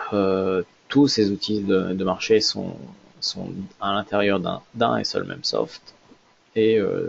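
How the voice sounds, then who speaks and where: A man speaks at a very slow pace. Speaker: trader and trading trainer. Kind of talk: live trading tutorial. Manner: halting, many fillers and repetitions.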